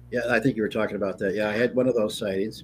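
Music plays behind a man whose pitch moves in a normal way. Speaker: author. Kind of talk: casual interview. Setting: video call.

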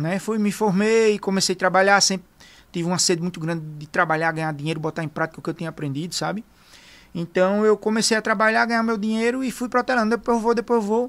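This man talks at a very fast pace with a high pitch. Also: ordinary pitch variation. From Arapiraca, Alagoas, Brazil. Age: 30s. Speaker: veterinarian. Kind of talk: casual interview. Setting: studio.

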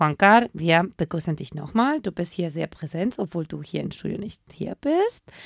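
An unremarkable speaking voice at a moderate pace, recorded dry and close with no echo, very clean against a silent background. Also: woman. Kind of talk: casual radio show banter, Spanish and German. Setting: radio studio.

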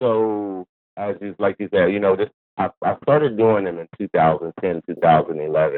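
With a normal speaking voice, this man talks fairly low in pitch, his variation ordinary. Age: 40s. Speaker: hair stylist. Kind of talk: interview.

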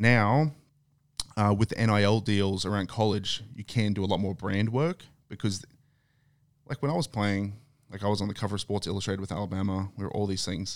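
Long, frequent pauses within a fairly quick pace, in an Australian accent. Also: man, fairly low pitch for a man, fairly even intonation. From Australia (Queensland, Thursday Island). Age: 30s. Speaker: former NFL player. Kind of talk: casual chat.

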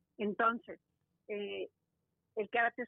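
A woman's medium-pitched voice, fairly slow, with monotone, flat intonation. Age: 50s. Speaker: karate teacher. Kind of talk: interview. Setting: phone call.

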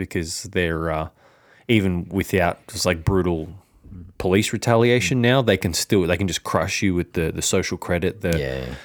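A man's very deep, low voice moves along at a moderate speed. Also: ordinary pitch variation. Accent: Australian. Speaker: finance podcast co-host. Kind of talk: casual chat.

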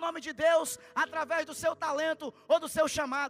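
A man speaks at an extremely high pitch and a moderate pace. His tone is animated, bright and sharp. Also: dry, close sound with no echo. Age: 30s. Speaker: preacher. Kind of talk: sermon. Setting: church.

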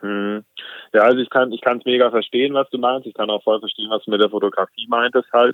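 A man's monotone, flat delivery at a fairly quick pace. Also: medium pitch for a man. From southern Germany, Lake Constance. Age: 20s. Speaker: kitesurfer and content creator. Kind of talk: casual chat.

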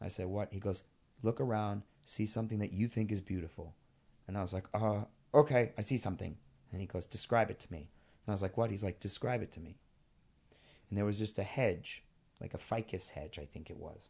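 A man with an American accent talks at a fairly quick pace with long, frequent pauses, his pitch fairly low. His tone is dark and mellow and somewhat breathy, against a quiet background. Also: ordinary pitch variation, big swings in loudness. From New York City (Queens). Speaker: actor and director. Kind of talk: casual interview chat.

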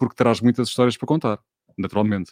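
Against a quiet background, a man with an ordinary speaking voice talks at medium pitch with fairly even intonation, the sound dry and close with no echo. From Portugal, Alentejo roots. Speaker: radio host running a live online talk show. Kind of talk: live-streamed casual interview. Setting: live stream with video call guests.

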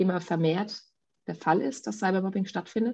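Somewhat breathy and dark, mellow in tone, a woman's medium-pitched voice shows ordinary pitch variation against a quiet background. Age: 40s. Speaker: podcast co-host, mother. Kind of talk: casual chat.

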